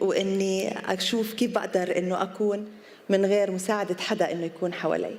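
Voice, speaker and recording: A woman's medium-pitched voice with an Arabic accent, fairly even intonation and a fairly slow pace, over noticeable background noise. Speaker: yoga teacher and businesswoman. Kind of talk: public talk. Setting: outdoor event lawn with audience. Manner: code-switching Arabic and English; hesitant with fillers.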